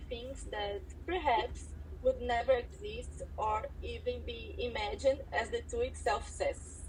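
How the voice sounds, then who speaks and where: A woman with a Portuguese accent at a fairly slow pace, with noticeable background noise. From Brazil. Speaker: designer. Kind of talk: self-introduction on live audio event. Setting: online audio event.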